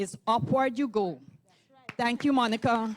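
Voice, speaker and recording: A woman with a Caribbean accent speaks at a moderate pace in a fairly high voice. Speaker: TV host and youth program founder. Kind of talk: speech to pageant contestants. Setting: ballroom event.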